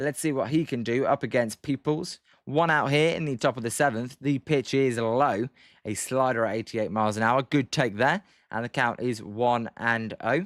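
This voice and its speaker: A man's medium-pitched voice with a British accent, ordinary pitch variation and moderate pace, in a very clean recording with a silent background and a dry, close sound with no echo. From Britain. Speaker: sports livestream commentator. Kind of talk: live commentary. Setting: livestream. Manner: soft-spoken.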